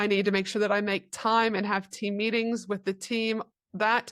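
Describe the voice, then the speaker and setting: In a very clean recording with a silent background, a woman talks fairly quickly at a medium pitch with flat, monotone intonation. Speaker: business mentor and speaker. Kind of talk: interview. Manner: fast.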